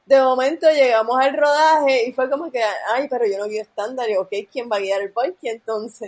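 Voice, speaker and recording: With hardly any pauses, a woman speaks at a moderate pace in a high pitch, using ordinary pitch variation. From Puerto Rico, near Levittown. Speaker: film director. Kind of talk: casual chat. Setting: online call.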